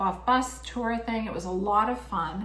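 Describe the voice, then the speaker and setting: Against noticeable background noise and audible room echo, a woman speaks at a medium pitch. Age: 60s. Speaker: podcast co-host. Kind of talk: casual chat.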